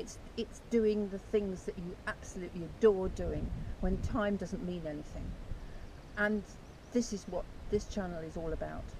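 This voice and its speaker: Noticeable background noise sits under a woman speaking at a moderate pace, with a dry sound and no echo. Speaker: author and channel host. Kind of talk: casual talk to camera. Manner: enthusiastic. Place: beach. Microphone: camera far.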